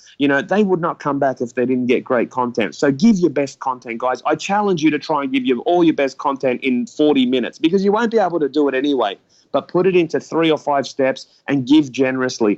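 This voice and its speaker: In an Australian accent, a man talks at a very fast pace with hardly any pauses and a fairly high pitch. His tone is animated and his intonation lively. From Australia, Sydney. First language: not English. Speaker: online business coach. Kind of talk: podcast interview.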